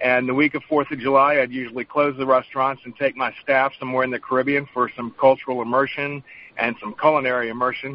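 A man with a North Carolina accent speaks very fast at a medium pitch. His intonation stays monotone and flat, while his loudness swings widely. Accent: US Southern (North Carolina). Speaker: chef and vodka distiller. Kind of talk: interview.

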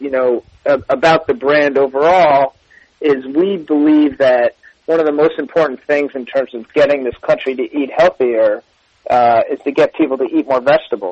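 Man at a moderate pace, fairly high pitch, ordinary pitch variation. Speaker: food company executive. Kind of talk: radio interview. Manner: enthusiastic.

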